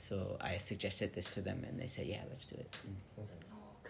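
A somewhat breathy voice with an American accent, at a moderate pace, with audible room echo. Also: man. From California, US. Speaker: magazine editor. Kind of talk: casual interview. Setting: recorded in his old house in Tokyo, sitting across from hosts.

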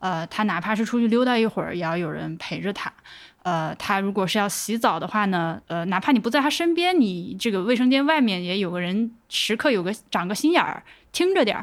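An ordinary speaking voice moves at a fairly quick pace with lively intonation in a very clean recording with a silent background. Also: woman, medium pitch for a woman. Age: 30s. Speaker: podcast producer. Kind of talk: casual chat.

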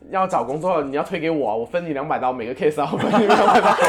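A man rushes through his words at a very fast pace as noticeable background noise continues around him. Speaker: podcast host. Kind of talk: casual chat.

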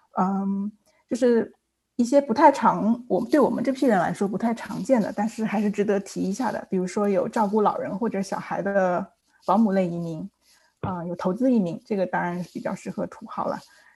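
A woman's somewhat breathy voice of medium pitch, dark and mellow in tone, with ordinary pitch variation and a fairly quick pace. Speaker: licensed immigration consultant. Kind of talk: panel discussion. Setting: video call.

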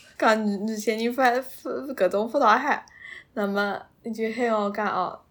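On a very clean recording with a silent background, a woman with a Suzhou accent speaks fairly slowly at a fairly high pitch with ordinary pitch variation. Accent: Suzhou Wu speaker. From Suzhou, China. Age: 20s. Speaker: podcast guest, graduate student. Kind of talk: personal storytelling in Suzhou dialect. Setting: face-to-face recording.

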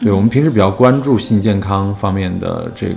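A man at a fairly low pitch with ordinary pitch variation and a moderate pace, amid noticeable background noise. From northern China. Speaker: LGBT health charity worker. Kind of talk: casual interview.

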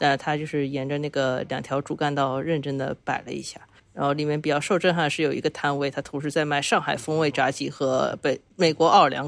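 The speaker goes at a fairly quick pace with hardly any pauses. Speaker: travel companion. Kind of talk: casual chat.

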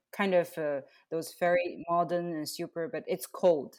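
In a plain, everyday voice, a woman speaks at a fairly low pitch and a moderate pace. The recording is very clean, with a silent background. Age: 30s. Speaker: podcast host. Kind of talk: casual interview.

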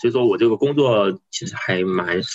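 With a dry, close sound and no echo, a man talks. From Guizhou, China (Guiyang). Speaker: podcast guest, father. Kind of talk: casual conversation. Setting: remote call across time zones.

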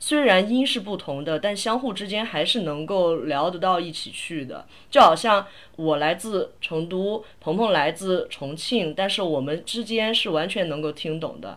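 With an unremarkable speaking voice, a woman talks at a moderate pace and medium pitch with lively intonation. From Sichuan, China. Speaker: podcast host. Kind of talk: casual chat.

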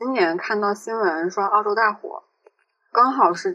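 Speaking at medium pitch, a woman keeps a moderate pace. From Changsha, Hunan, China. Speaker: podcast co-host, student. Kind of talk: casual chat.

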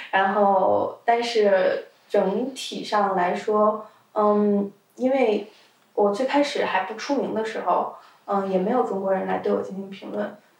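Her pitch medium and her intonation fairly even, a woman talks very slowly. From China. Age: 20s. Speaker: adult video content creator. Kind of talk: casual interview.

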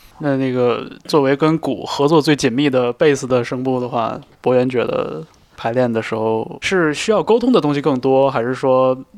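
A man speaks at a moderate pace, with medium pitch, ordinary pitch variation and a normal speaking voice. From northern China. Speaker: podcast host. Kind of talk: interview.

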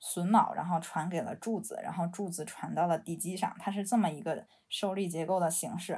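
A woman with a Beijing accent speaks at a moderate pace and medium pitch, with hardly any pauses and fairly even intonation. Her dark, mellow tone is somewhat breathy, and the recording is very clean with a silent background. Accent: Beijing Mandarin with erhua. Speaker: architect and urban researcher. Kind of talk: casual chat. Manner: hesitant, many fillers.

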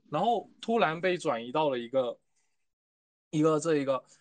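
A man talks with a fairly high pitch at a fairly quick pace. It is a normal speaking voice. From Fujian, China. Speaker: university student. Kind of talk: casual chat.

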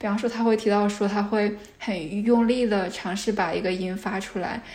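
A woman's voice at medium pitch, with noticeable background noise. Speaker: PhD candidate researching stuttering. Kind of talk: interview. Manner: frequent sound and syllable repetitions.

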